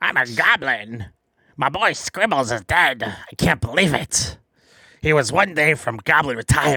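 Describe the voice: In a gruff, put-on character voice, a man speaks at a medium pitch and moderate pace on a very clean recording with a silent background.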